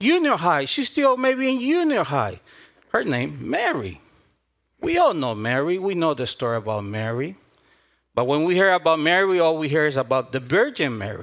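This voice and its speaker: On a very clean recording with a silent background, a man with a Spanish accent speaks at a moderate pace in a fairly high voice with very wide pitch swings. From South America. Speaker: pastor. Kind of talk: sermon.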